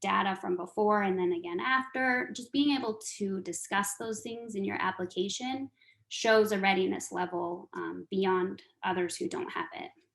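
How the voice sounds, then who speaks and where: A woman at a medium pitch with a plain, everyday voice, moderate pace and ordinary pitch variation. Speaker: nonprofit grants trainer. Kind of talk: training webinar.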